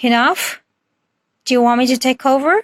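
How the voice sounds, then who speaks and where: Putting on a character voice, a woman speaks high at a moderate pace. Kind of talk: bedtime story. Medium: read story.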